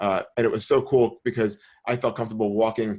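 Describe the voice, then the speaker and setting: The speaker is male. His voice lands at a medium pitch. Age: 30s. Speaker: podcast co-host and photographer. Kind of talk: casual chat. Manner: animated.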